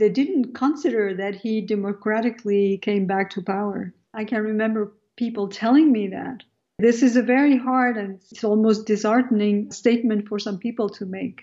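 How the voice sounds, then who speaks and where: A woman talks with a French accent. Her pitch is fairly high. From France, of Algerian background. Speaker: sociology professor. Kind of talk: radio interview.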